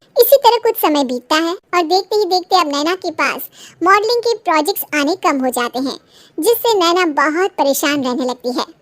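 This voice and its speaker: In a cartoonish character voice with an extremely high pitch, a woman speaks at a moderate pace. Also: dry, close sound with no echo. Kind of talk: bedtime story narration. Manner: steady, explanatory.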